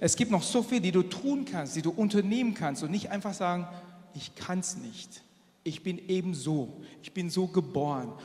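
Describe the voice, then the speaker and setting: A man speaks at a moderate pace and high pitch, with lively intonation and big swings in loudness. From Asia. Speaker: engineer and church speaker. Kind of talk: sermon.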